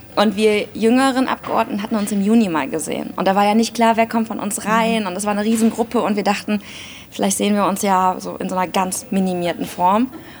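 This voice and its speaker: Over noticeable background noise, a woman talks at a very fast pace at medium pitch with fairly even intonation. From Germany, Aachen. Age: 30s. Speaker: politician. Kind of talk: interview.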